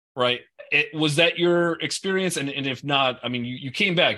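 A man's bright, sharp tone at a moderate pace, with ordinary pitch variation. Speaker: podcast co-host. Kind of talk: casual interview chat.

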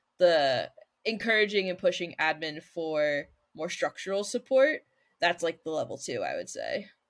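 In a very clean recording with a silent background, a woman with a plain, everyday voice speaks at a moderate pace, her medium pitch marked by lively intonation. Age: 30s. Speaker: middle school science teacher. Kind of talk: casual chat.

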